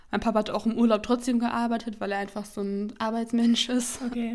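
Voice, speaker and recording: A woman talks at a fairly quick pace in a fairly high pitch, her intonation monotone and flat. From near Hannover, Germany. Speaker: podcast co-host. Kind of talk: casual chat. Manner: hesitant, many fillers.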